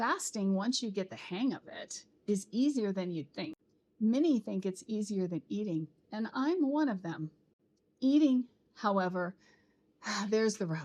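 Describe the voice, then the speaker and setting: A woman with a dark, mellow tone speaks at a fairly high pitch, her voice making very wide pitch swings. Her pace is fairly slow, broken by long, frequent pauses. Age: 60s. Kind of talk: personal vlog narration.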